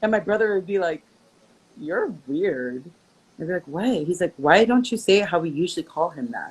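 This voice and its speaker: Animated in tone, a woman talks at a medium pitch with lively intonation. Her pace is moderate. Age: 30s. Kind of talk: casual interview chat.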